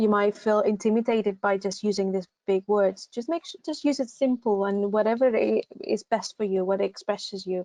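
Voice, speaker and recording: A woman with a Greek accent speaks at a fairly high pitch and a moderate pace, with ordinary pitch variation, hardly any pauses, and a dry, close sound with no echo. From Greece. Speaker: university recruitment assistant. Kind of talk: online advice session. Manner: hesitant, many fillers.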